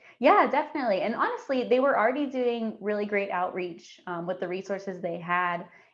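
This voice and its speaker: A woman speaks in a normal speaking voice at a medium pitch, moving at a fairly quick pace with lively intonation and hardly any pauses. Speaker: community outreach coordinator at health center. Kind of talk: podcast interview.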